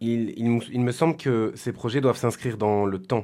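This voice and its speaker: Here a man talks at a medium pitch and moderate pace. The recording is very clean, with a silent background. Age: 30s. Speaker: volunteer community project organiser. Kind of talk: testimony. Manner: halting, with repeated words and hesitations.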